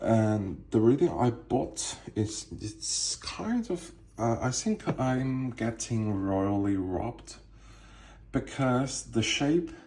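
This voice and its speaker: A man with a non-native accent speaks at a fairly low pitch in a dark, mellow, somewhat breathy tone, with ordinary pitch variation. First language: not English. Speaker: cigar collector. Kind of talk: casual show-and-tell tour. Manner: halting, many fillers.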